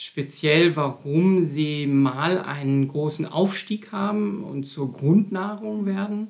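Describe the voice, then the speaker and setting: This man's voice shows ordinary pitch variation. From Germany, Münster (Westphalia). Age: 50s. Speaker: anthropology professor. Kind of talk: interview.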